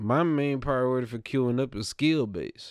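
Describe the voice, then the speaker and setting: Here a man talks in a medium pitch at a moderate pace. His pitch varies in an ordinary way. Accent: Southern US. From US South. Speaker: gaming podcast host. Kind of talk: casual chat. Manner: animated.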